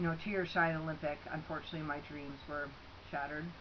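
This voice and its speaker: A woman with a Canadian accent and a very deep, low pitch, speaking at a very fast pace in a monotone, flat intonation, with audible room echo. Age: 30s. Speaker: scholarship applicant, former athlete. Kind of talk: personal video statement. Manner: casual, with many fillers.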